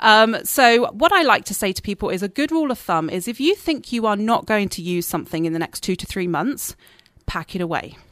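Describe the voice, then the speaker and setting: A woman talks at a fairly quick pace with an English accent. Her fairly high voice makes very wide pitch swings. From southern England, Dorset. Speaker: realtor and marketing specialist. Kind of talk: radio interview. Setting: radio studio.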